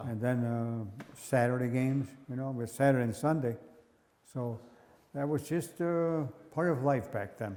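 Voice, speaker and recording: A man speaks at a moderate pace with long, frequent pauses. His dark, mellow tone sits at medium pitch with ordinary pitch variation. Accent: American. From Onondaga Nation, New York, USA. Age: 80s+. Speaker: former lacrosse player and ironworker. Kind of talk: interview answer.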